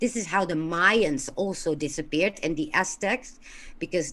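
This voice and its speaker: A woman with a fairly low voice speaks at a moderate pace, her intonation lively. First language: not English. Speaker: caller. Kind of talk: call-in show discussion.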